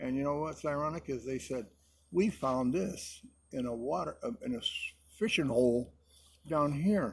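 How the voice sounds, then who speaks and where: This man's voice is somewhat breathy and fairly high in pitch, with lively intonation, a moderate pace and long, frequent pauses. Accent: American. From Connecticut (Hartford). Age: 80s+. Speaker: military veteran. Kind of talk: casual chat.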